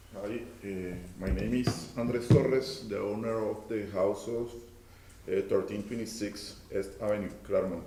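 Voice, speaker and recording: A man with a Spanish accent speaks at a moderate pace in a fairly low voice, his pitch varying in an ordinary way, with audible room echo and noticeable background noise. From Colombia. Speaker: property owner and contractor. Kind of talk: public hearing testimony. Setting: council chamber at podium. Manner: halting.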